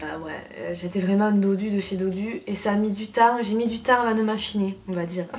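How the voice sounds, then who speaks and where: Spoken at a moderate pace, the voice shows ordinary pitch variation. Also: woman. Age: 20s. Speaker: beauty YouTuber. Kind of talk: casual vlog. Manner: animated. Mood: cheerful, nostalgic. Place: home room. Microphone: camera far.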